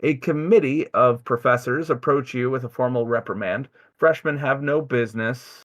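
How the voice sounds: The reading voice sounds natural. Pitch moves in an ordinary way.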